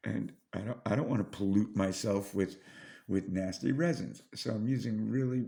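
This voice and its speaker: The man's fairly low voice carries vocal fry. He keeps a moderate pace with ordinary pitch variation. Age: 50s. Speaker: model railroad hobbyist. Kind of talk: casual tutorial vlog. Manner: halting, many fillers and restarts.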